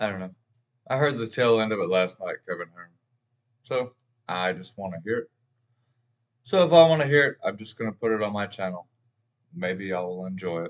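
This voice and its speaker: Against a quiet background, a man with a fairly low pitch speaks at a fairly quick pace, his loudness swinging widely. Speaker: music reaction channel host. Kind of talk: casual vlog chat. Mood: relaxed, friendly. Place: home room.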